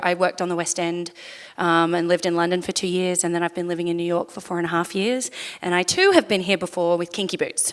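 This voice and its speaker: The woman speaking has an Australian accent. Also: very clean recording, silent background. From Sydney, Australia. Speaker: musical theater actor. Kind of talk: panel Q&A talk.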